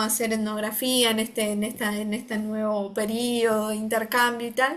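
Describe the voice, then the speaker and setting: Her tone is bright and sharp. The woman speaks at a fairly high pitch and a fairly slow pace. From Argentina. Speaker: occupational therapist and researcher. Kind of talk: interview conversation. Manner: hesitant, many fillers.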